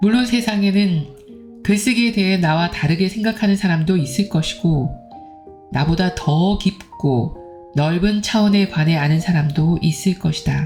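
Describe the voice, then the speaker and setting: Music plays behind a woman's fairly low voice. She speaks at a fairly slow pace with ordinary pitch variation. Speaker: book reader. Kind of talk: book reading.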